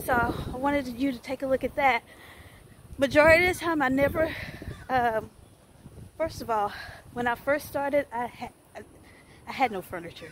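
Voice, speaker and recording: With a Southern US accent, the speaker moves at a fairly quick pace, leaves long, frequent pauses, and uses ordinary pitch variation. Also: woman. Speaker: small business owner and vlogger. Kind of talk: casual vlog. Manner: casual, laughs often.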